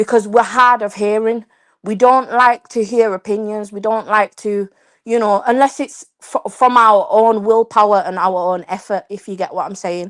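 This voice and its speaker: In a very clean recording with a silent background and a dry, close sound free of echo, a woman with an English accent speaks at a fairly high pitch, her intonation fairly even but her loudness swinging widely. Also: moderate pace. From England. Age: young. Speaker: panelist on live stream. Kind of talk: heated panel discussion. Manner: halting.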